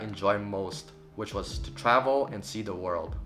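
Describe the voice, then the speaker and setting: A man's medium-pitched voice with ordinary pitch variation, music in the background. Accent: Burmese. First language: Burmese. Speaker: travel vlogger. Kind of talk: vlog monologue. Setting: cousin's living room in Singapore.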